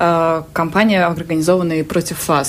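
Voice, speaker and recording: A woman speaks at a fairly low pitch and a moderate pace. She has an unremarkable speaking voice. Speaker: journalist. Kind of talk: radio interview. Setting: studio.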